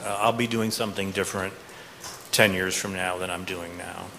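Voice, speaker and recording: A man with an American accent, amid noticeable background noise. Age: 50s. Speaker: professor. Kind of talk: panel discussion.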